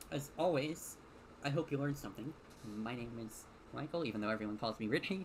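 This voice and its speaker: A medium-pitched man at a very fast pace. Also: ordinary pitch variation. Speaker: tech YouTuber. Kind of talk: tutorial. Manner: stutters, halting.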